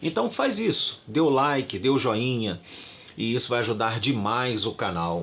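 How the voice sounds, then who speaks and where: The recording is very clean with a silent background. A man with a plain, everyday voice speaks at medium pitch and a moderate pace, with lively intonation. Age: 60s. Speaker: pastor. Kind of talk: religious talk to channel viewers.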